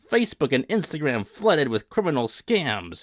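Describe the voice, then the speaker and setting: A man's put-on character voice, fairly high-pitched with very wide pitch swings, at a moderate pace in a dry, close sound with no echo. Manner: intoning, declaiming.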